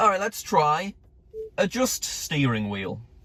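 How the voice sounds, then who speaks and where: A man with a Northern English accent, fairly quick and animated, in a bright, sharp tone. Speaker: YouTuber testing car features. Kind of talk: casual video commentary.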